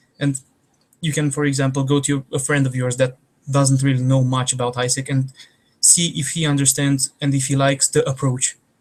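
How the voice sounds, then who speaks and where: Somewhat breathy and in a Romanian accent, the voice moves at a moderate pace with monotone, flat intonation. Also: man. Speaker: trainer. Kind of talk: online training.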